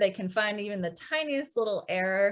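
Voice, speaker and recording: A woman talks at a medium pitch with ordinary pitch variation. It is an ordinary speaking voice. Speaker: music teacher. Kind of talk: online workshop presentation. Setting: video call with screen share. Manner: many filler ums.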